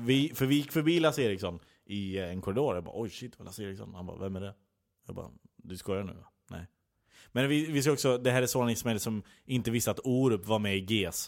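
A man talks at a very fast pace and a medium pitch, his loudness swinging widely. The recording is very clean with a silent background. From Skara, Västergötland, Sweden. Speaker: comedy writer. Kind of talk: casual chat.

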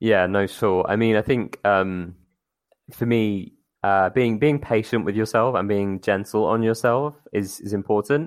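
A man's fairly low voice with ordinary pitch variation at a fairly slow pace, on a very clean recording with a silent background. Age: 30s. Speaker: podcast guest. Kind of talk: casual chat. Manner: halting, many repetitions and fillers.

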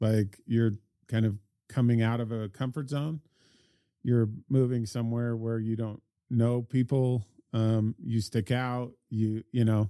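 In an American accent, a man speaks fairly slowly in a flat monotone at medium pitch, his tone dark and mellow, the sound dry and close with no echo on a very clean recording with a silent background. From Salt Lake City, US (raised partly in Australia, New Zealand, Brazil). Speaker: business executive and managing partner. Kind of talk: casual interview conversation.

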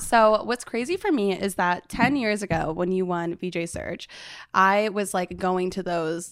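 On a very clean recording with a silent background, the voice sounds energetic and enthusiastic, with ordinary pitch variation. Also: woman. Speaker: podcast host. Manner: fast talker; energetic, enthusiastic.

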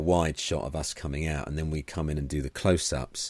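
A man with an English accent, very deep and low in pitch, at a fairly quick pace. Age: 40s. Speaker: comedian and podcast co-host. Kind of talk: casual chat. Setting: video call.

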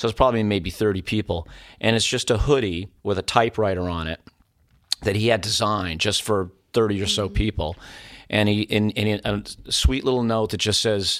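An unremarkable speaking voice, a man's with an American accent, fairly low in pitch, fairly quick, with fairly even intonation. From US Northeast, Keene, New Hampshire. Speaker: musician. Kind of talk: casual chat. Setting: studio.

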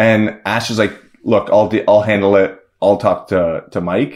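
An ordinary speaking voice from a man, fairly low in pitch, at a fairly slow pace. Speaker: film director. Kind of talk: casual chat.

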